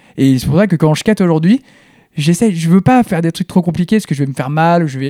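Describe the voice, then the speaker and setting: Speaking at a very fast pace, a man with a fairly high pitch and a dark, mellow tone uses ordinary pitch variation, captured in a dry, close sound with no echo. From southeastern France. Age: 30s. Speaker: artist. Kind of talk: casual interview conversation. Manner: intense.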